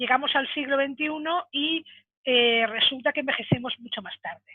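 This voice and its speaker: A woman speaks at a moderate pace in a high voice. Her intonation is lively. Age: 60s. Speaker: webinar speaker on senior careers. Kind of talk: webinar talk. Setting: online webinar. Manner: halting, many fillers.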